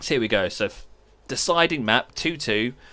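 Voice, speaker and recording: A man speaks with a British accent and lively intonation. The recording is very clean, with a silent background. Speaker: esports caster. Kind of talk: live commentary. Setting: live stream. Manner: casual.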